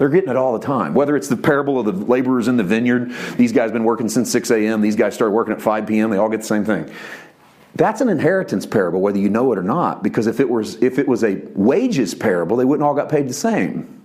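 A man speaks at a very fast pace with a medium pitch. His intonation is lively, and there is noticeable background noise. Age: 40s. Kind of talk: sermon. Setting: church. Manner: animated.

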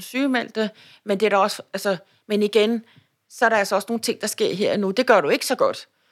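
A woman's fairly high, unremarkable speaking voice with fairly even intonation, in a very clean recording with a silent background. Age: 50s. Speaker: labour market policy consultant, cancer survivor. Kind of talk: interview about personal illness. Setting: office lunchroom.

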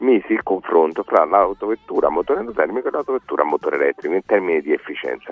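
The speech comes at a very fast pace with noticeable background noise. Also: man. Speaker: science communicator, geologist professor. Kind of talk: radio debate with callers. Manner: argumentative.

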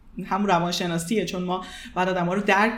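Against noticeable background noise and audible room echo, a woman speaks very fast in a monotone, flat intonation. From Iran. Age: 20s. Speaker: psychologist and marketing manager. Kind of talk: interview.

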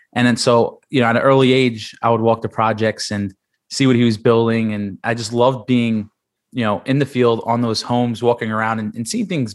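A man with an American accent has a plain, everyday voice at medium pitch. He keeps a moderate pace and fairly even intonation over a quiet background. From New York City, Staten Island. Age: 20s. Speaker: author and construction business developer. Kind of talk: interview.

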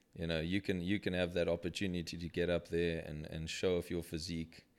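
Over a silent background in a very clean recording, a man with a very deep, low voice speaks fairly quickly in a flat monotone. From Zimbabwe. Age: 30s. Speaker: bodybuilder. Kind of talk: casual chat.

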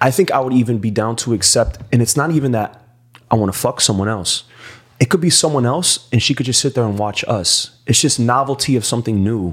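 Here is a man with an ordinary speaking voice at medium pitch. He moves at a fairly quick pace. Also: ordinary pitch variation. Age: 30s. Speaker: podcast host. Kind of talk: casual chat.

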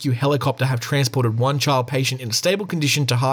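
Plain reading aloud runs with fairly even intonation.

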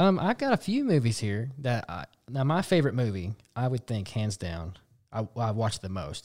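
In a very clean recording with a silent background, a man with a fairly low pitch sounds somewhat breathy, speaking at a fairly quick pace with lively intonation. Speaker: podcast co-host. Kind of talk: casual chat.

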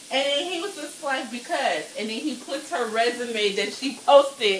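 Over noticeable background noise, a high-pitched woman talks at a moderate pace in an animated tone with lively intonation. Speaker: podcast co-host. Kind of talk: casual chat while cooking. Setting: home kitchen. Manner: animated, laughing.

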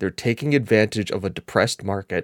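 A man with an American accent talks at a fairly quick pace, recorded dry and close with no echo, very clean, over a silent background. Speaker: gaming podcast co-host. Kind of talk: casual chat. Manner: animated.

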